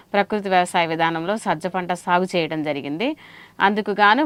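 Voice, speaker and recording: A normal speaking voice with ordinary pitch variation and a dry, close sound free of echo. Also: woman. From Andhra Pradesh, Prakasam district. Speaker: farmer. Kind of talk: farmer testimony.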